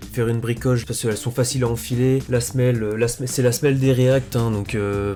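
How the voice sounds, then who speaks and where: There is noticeable background noise behind this voice. A man speaks at a moderate pace and medium pitch with fairly even intonation. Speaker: sneaker youtuber. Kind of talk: casual show-and-tell video. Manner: hesitant, many fillers; stammers at times.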